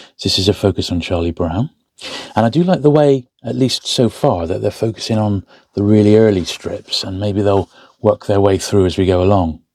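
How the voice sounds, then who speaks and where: In an English accent, a man speaks at a moderate pace with a fairly low pitch and a dark, mellow tone. The sound is dry and close with no echo. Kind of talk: casual hobby build talk to camera. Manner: soft-spoken, relaxed.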